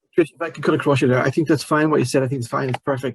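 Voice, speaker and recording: A man speaks at a fairly high pitch with fairly even intonation. The sound is dry and close, with no echo. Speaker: project panel member. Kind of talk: panel Q&A answer. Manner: fast; halting, many repeated words.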